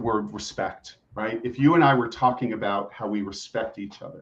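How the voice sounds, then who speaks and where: A man talks at a moderate pace and medium pitch, with ordinary pitch variation. It is a plain, everyday voice. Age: 60s. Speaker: executive coach and family therapist. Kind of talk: interview podcast.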